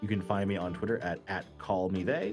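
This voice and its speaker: Music in the background behind a man at a moderate pace. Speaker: game facilitator, podcast host.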